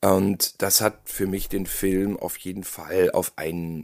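The recording is very clean with a silent background, carrying a man's very deep, low voice. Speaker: podcast co-host, horror film critic. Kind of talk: casual chat.

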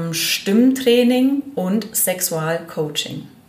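A woman's speech, showing ordinary pitch variation, is accompanied by noticeable background noise. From Allgäu, southern Germany. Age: 40s. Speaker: hypnotherapist. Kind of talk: interview.

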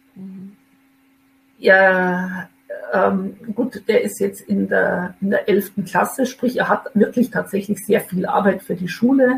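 Her delivery very slow, a woman speaks with fairly even intonation at a medium pitch. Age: 50s. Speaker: mother in a custody situation. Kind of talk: personal testimony. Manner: hesitant with many fillers.

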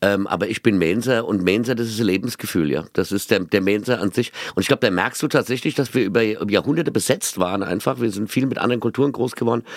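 A man in a Mainz accent talks at a very fast pace, with hardly any pauses. His tone is animated, with ordinary pitch variation. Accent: Mainz dialect, noticeable. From Mainz, Rhine-Hesse. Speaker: comedian, radio host and singer. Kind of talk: casual chat. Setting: rehearsal room.

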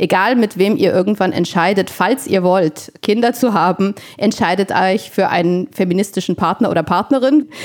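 At a moderate pace with hardly any pauses, a woman speaks at a medium pitch with ordinary pitch variation and very even loudness over noticeable background noise. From Italy. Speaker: medical professor. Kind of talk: interview. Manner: halting.

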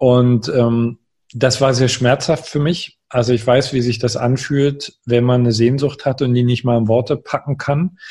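Somewhat breathy, a man speaks at a fairly slow pace with fairly even intonation and very even loudness. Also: medium pitch for a man. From eastern Germany, Görlitz (Saxony). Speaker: life coach and author. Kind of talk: interview. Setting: home office, remote call.

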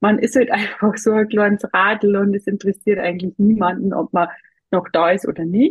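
Speaking in a Bavarian accent, a woman has a medium-pitched voice. It comes across somewhat breathy. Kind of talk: interview.

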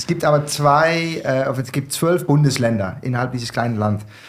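A man with a Dutch accent, somewhat breathy, fairly high-pitched, moderate pace and ordinary pitch variation. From southern Netherlands. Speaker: wine bar owner. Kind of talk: casual chat. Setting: studio.

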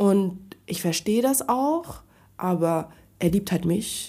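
In a very clean recording with a silent background, a woman speaks at a medium pitch with lively intonation. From Frankfurt, Germany. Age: 30s. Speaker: podcast guest. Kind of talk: casual chat.

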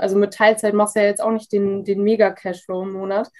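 Fairly high in pitch, a woman talks at a fairly quick pace. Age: 20s. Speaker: Instagram freelancer. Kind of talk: interview. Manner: hesitant, many fillers.

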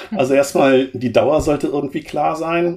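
A man's fairly high-pitched voice at a moderate pace, with noticeable background noise. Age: 50s. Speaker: program manager in energy grid transformation. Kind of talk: interview.

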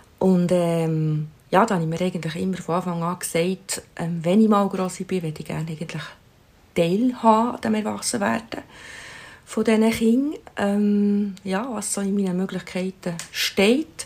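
The speaker has a Swiss accent, ordinary pitch variation and a moderate pace. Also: woman, medium pitch for a woman. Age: 60s. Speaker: grandmother. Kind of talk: interview.

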